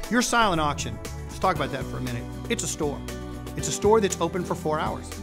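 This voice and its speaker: A man talks at a very fast pace. Music plays clearly in the background. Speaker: charity benefit auctioneer. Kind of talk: promotional interview talk to camera. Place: studio.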